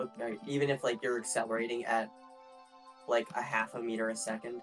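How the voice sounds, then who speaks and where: Someone speaks at a fairly quick pace with music playing in the background. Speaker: podcast guest, fellow gaming creator. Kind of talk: casual banter in a comedic gaming podcast.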